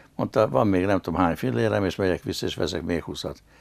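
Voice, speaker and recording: A man's fairly low voice with vocal fry over a quiet background. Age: 80s+. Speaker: dancer and businessman; interview guest, former actor. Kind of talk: interview. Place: studio.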